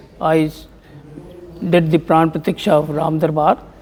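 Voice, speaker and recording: With noticeable background noise, a man speaks at a moderate pace in a high voice. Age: 70s. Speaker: temple community member. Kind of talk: interview. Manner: halting.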